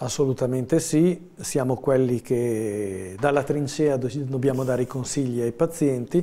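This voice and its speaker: Speaking at a fairly slow pace with hardly any pauses, a man uses a medium-pitched voice with a dark, mellow tone. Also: ordinary pitch variation. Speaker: family doctor; guest. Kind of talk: live TV interview. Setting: studio. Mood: calm, explanatory. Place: studio. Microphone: lapel.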